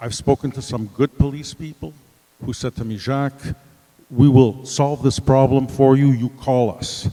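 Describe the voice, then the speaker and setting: A man's medium-pitched, dark and mellow voice at a moderate pace, fairly even in intonation but with big swings in loudness, in a dry, close sound with no echo. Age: 70s. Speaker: resident speaking at community meeting. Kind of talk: public comment at town meeting.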